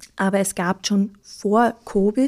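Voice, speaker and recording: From a very clean recording with a silent background comes a woman's medium-pitched voice in a dark, mellow tone. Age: 30s. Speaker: nurse. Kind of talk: interview. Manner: halting, with fillers.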